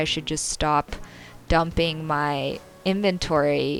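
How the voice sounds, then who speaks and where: Music plays in the background as a woman speaks. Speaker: gaming YouTuber. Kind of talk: casual talk to camera.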